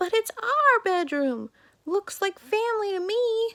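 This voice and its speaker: A woman puts on a character voice. It is squeaky and extremely high. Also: fairly slow pace. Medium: read story. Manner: petulant.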